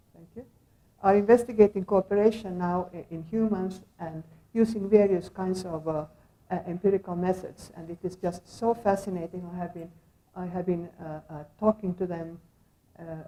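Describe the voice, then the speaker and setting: A woman speaks at a medium pitch and moderate pace with a dark, mellow tone. Her intonation stays fairly even, though her loudness swings widely. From Finland. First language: Finnish. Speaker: sociologist of science, academic speaker. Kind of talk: lecture. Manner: halting, many fillers; soft-spoken.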